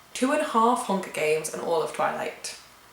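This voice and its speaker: Noticeable background noise sits under a woman's fairly high voice. She speaks at a moderate pace, her pitch swinging very widely. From England. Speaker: vlogger. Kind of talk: casual Q&A vlog. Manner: chatty.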